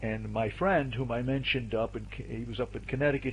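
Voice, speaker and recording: A man with an American accent talks at a fairly quick pace, with audible room echo. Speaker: astrologer presenting a video series. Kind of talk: lecture. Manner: fast.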